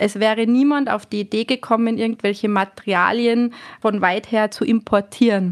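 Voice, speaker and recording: A woman speaks in a plain, everyday voice, fairly high in pitch with fairly even intonation. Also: moderate pace. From Austria, Tyrol. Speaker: hotel manager. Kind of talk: interview.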